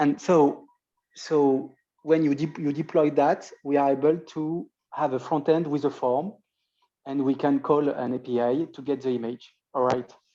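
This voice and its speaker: A fairly slow pace against a quiet background. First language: not English. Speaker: webinar attendee asking questions. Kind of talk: webinar Q&A. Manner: halting.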